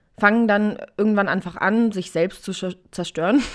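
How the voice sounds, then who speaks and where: A very clean recording with a silent background, moderate pace, and ordinary pitch variation. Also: woman. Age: 20s. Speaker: podcaster with type 1 diabetes. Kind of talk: casual solo talk. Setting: home recording with cushion and blanket.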